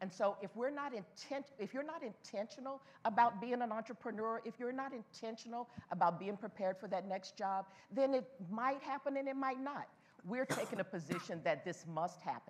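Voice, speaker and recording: Her intonation is lively and her pitch fairly high for a woman. The pace is fairly quick, over noticeable background noise. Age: 70s. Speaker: panelist at professional association event. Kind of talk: panel Q&A discussion. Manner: emphatic.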